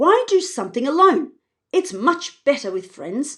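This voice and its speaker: Using a put-on character voice, a woman speaks at a high pitch and a moderate pace, her pitch swinging very widely. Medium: read story. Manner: warm, encouraging.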